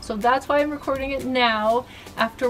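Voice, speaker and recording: High female voice at a moderate pace, fairly even in intonation, with faint music behind it. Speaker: homeowner vlogger. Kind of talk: casual vlog chat. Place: garden.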